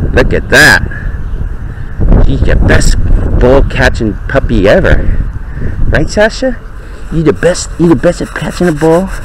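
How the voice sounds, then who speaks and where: The speech moves at a moderate pace. There is noticeable background noise, and the sound is dry with no echo. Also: man. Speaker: dog owner. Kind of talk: casual talk while playing with dog. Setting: outdoors, body-worn pen camera mic. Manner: whispering or normal talking. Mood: playful, affectionate. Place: garden. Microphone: phone near.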